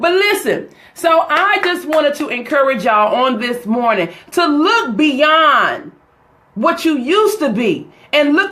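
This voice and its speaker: In an American accent, a woman with a high pitch sounds animated, and audible room echo surrounds her voice. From US South, North Carolina. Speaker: motivational speaker. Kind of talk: live motivational talk.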